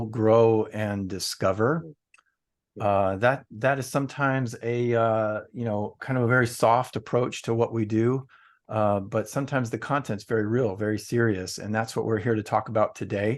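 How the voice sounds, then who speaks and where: Over a quiet background, a man with an unremarkable speaking voice talks at a moderate pace, medium in pitch and fairly even in intonation. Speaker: book publisher. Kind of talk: interview host.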